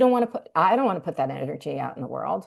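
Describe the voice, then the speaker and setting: The voice has vocal fry and a lively, bouncing intonation. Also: woman. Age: 60s. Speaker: marketing professor and author. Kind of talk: interview conversation. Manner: halting.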